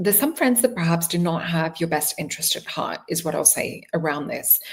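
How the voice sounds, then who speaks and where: Speaking with an Australian accent, a woman uses a fairly low pitch, lively intonation and a fairly quick pace. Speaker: tarot reader. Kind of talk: tarot reading. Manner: casual, conversational.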